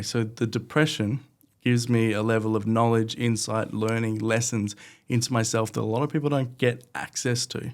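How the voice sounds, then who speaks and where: In a very clean recording with a silent background, a man with an Australian accent talks at a fairly quick pace. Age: 20s. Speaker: podcast guest, marketer. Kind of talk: interview conversation.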